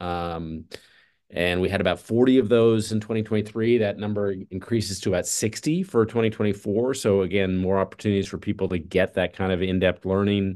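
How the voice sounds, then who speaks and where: A man's plain, everyday voice, fairly low in pitch, fairly even in intonation and fairly quick in pace, over a quiet background. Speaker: festival executive. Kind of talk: casual interview.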